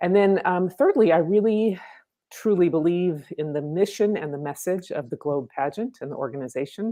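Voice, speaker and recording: At a moderate pace and fairly low pitch, a woman with lively intonation speaks in a normal speaking voice. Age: 60s. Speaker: pageant contestant, professional speaker and author. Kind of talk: interview.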